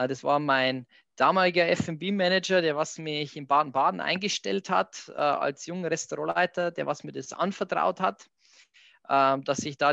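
This man has a Bavarian accent and a fairly high pitch, with a bright, sharp tone and ordinary pitch variation. He talks at a moderate pace in a dry, close sound with no echo against a quiet background. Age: 30s. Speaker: hotel director. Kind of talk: interview.

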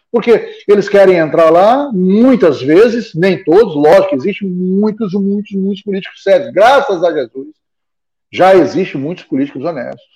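A man talks at a moderate pace in a dark, mellow tone. His voice is high-pitched, with lively intonation. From Goiás and southern Pará, Brazil. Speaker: local broadcaster and political commentator. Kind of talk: casual chat. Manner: halting.

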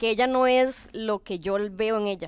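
At a fairly slow pace, a woman speaks in a plain, everyday voice with a fairly high pitch. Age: 30s. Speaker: tattoo client. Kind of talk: casual chat.

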